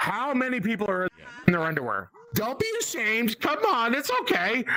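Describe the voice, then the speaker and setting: A man with an American accent projects his voice at an extremely high pitch, with lively intonation and very even loudness, over noticeable background noise. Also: moderate pace. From Boston, Massachusetts. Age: 40s. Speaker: comedian. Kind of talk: stand-up. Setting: spare bedroom, VR event.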